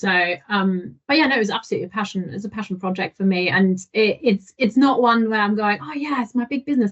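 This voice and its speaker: With hardly any pauses, a woman rushes along at a very fast pace in a somewhat breathy, fairly high voice. Her intonation is lively. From Germany. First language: German. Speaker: digital marketing manager. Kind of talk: podcast interview.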